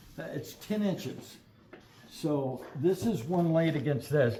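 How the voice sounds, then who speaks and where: A man speaks at a fairly high pitch in a dark, mellow tone with lively intonation. Room echo is audible. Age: 60s. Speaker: metal fabricator. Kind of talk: product unboxing.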